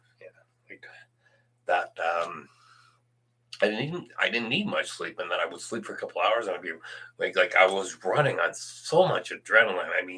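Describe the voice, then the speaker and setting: A man speaks at a moderate pace, his loudness swinging widely. Long pauses break up his speech often. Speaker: livestreamer. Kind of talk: casual livestream monologue. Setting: home livestream at night. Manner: halting, many fillers.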